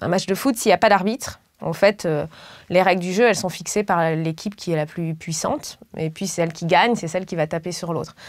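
A woman with a normal speaking voice, fairly low in pitch with ordinary pitch variation, at a fairly quick pace against a quiet background. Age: 30s. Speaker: political candidate and professor; candidate, professor. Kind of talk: political interview. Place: studio. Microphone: lapel.

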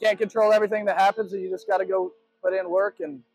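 A man with a high-pitched voice talks at a very fast pace, the sound dry with no echo and faint music in the background. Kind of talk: interview answer. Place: stadium. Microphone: handheld.

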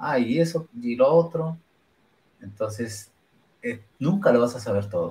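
This man's voice is medium in pitch, somewhat breathy, and dark and mellow in tone. He talks at a fairly slow pace with lively intonation and long, frequent pauses. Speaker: podcast host. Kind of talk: casual chat.

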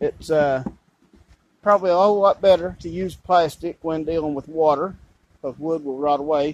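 A high-pitched male voice at a moderate pace, fairly even in intonation, with a dry sound and no echo. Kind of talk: tutorial. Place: garden. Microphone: phone near.

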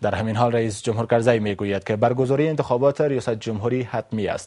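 A man's medium-pitched, dark and mellow voice at a very fast pace, with ordinary pitch variation over a quiet background. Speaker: news anchor. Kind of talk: television news anchor read.

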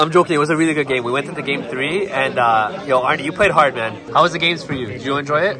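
A man talks at a very fast pace with ordinary pitch variation against noticeable background noise. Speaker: YouTube gamer. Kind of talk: casual vlog. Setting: card shop locals event. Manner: animated, excitable.

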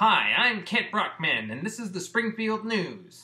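In a cartoonish character voice pitched high, a man speaks fairly slowly with fairly even intonation. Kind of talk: cartoon voice impression. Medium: solo performance. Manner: pompous, broadcaster cadence.

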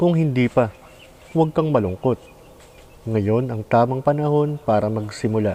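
A man speaks in a calm tone at a medium pitch, with ordinary pitch variation. Background noise is noticeable. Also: moderate pace. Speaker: vlogger. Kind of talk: reflective monologue.

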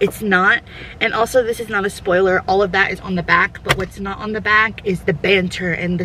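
The sound is dry with no echo, and light background noise is present. Delivery comes at a moderate pace with fairly even intonation. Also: woman. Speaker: lifestyle vlogger. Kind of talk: casual vlog chat. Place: car. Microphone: phone near.

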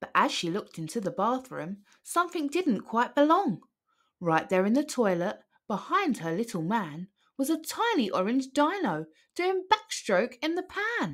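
A woman's fairly high voice at a fairly slow pace, with big pitch swings

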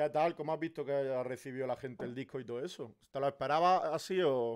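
A man at medium pitch, very fast pace, ordinary pitch variation, quiet background. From Spain. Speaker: content creator and streamer; content creator, streamer. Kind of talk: casual interview. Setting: live stream. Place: home room. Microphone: studio mic.

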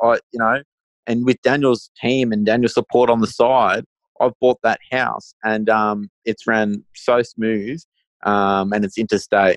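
A man speaks at a fairly slow pace with a medium pitch and a monotone, flat intonation, in an Australian accent, with a dry, close sound with no echo and a quiet background. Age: 20s. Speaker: first-time property investor. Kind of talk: podcast interview.

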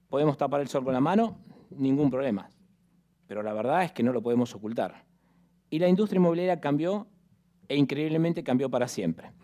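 This man talks at a fairly quick pace, with long, frequent pauses against a quiet background. His voice is fairly high in pitch, with a dark, mellow tone and lively intonation. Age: 50s. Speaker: real estate executive and lecturer; conference speaker. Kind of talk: conference presentation. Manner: animated. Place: hall. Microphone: headset.

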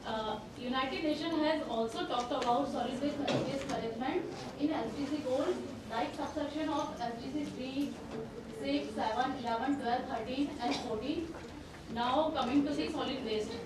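A woman talks at a fairly slow pace with ordinary pitch variation. Room echo is audible, and background noise is noticeable. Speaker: conference presenter. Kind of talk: lecture. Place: hall.

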